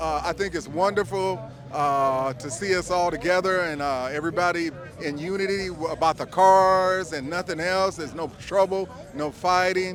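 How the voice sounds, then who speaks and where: Moderate pace, ordinary pitch variation and an American accent, with noticeable background noise. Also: man, high pitch for a man. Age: 60s. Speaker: lowrider car owner. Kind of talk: casual interview.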